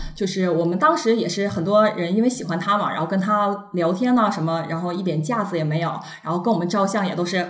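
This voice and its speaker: Amid noticeable background noise and audible room echo, a woman at a medium pitch talks at a very fast pace with ordinary pitch variation. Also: hardly any pauses. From northeast China, Shenyang. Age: young. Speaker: trainee flight attendant, former TV station worker. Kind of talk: casual chat.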